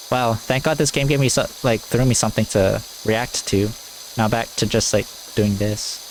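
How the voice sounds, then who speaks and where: Noticeable background noise sits beneath speech delivered at a moderate tempo. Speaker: gaming YouTuber. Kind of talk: let's play commentary. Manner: low energy; halting.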